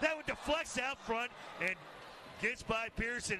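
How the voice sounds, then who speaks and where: A man speaks with ordinary pitch variation and a moderate pace while noticeable background noise runs underneath. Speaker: play-by-play announcer. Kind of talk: live commentary.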